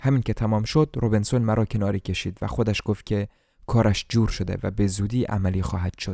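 In a very clean recording with a silent background, a man with a fairly low pitch and a dark, mellow tone speaks very fast in a dramatic tone with fairly even intonation. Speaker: audiobook narrator. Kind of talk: literary audiobook reading, scripted narration of a translated novel. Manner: measured, flowing first-person storytelling, shifting into dramatic emphasis for dialogue.

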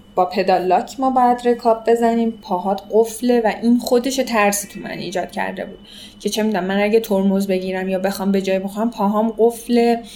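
Ordinary pitch variation at a moderate pace, with music in the background. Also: woman. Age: 20s. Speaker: amateur triathlete. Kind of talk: interview, personal story.

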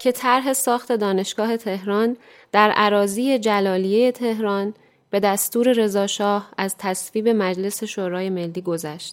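A woman's fairly high voice, very slow in pace, with ordinary pitch variation. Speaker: radio show presenter. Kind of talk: scripted narration.

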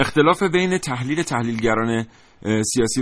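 This man speaks at a medium pitch. His intonation is lively. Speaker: radio host. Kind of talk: live radio talk show.

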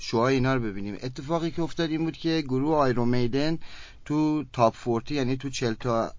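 A man with a medium-pitched, ordinary speaking voice talks at a fairly quick pace, his pitch varying in an ordinary way. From Iran, Kerman. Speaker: rock musician. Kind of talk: interview.

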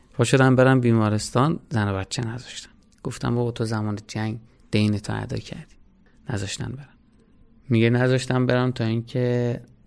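A man with an unremarkable speaking voice keeps a medium pitch and fairly even intonation while talking at a moderate pace. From Iran, Hamadan. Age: 30s. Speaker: hospital volunteer and student. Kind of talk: personal testimony.

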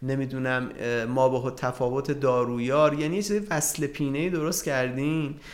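Medium-pitched, moderate-paced speech from a man in audible room echo. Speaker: pharmacist and drug economics lecturer. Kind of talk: interview. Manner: halting.

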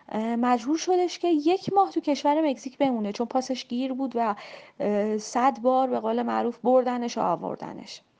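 A high-pitched woman speaks with lively intonation. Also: moderate pace. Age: 30s. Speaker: travel influencer. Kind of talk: interview.

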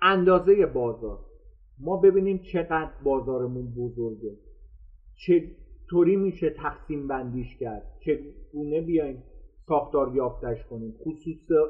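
A man's fairly high voice at a fairly slow pace, with ordinary pitch variation and long, frequent pauses. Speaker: marketing instructor. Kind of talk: live-streamed lecture. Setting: live stream online.

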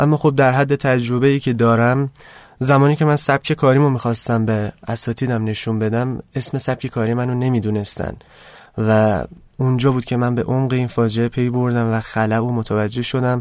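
At a moderate pace, a man talks at medium pitch with monotone, flat intonation against a quiet background. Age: 20s. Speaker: fashion designer. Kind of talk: interview. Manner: low energy.

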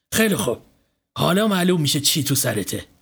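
Put-on character voice from a man, fairly high and fairly bright, with big pitch swings and vocal fry on a very clean recording with a silent background

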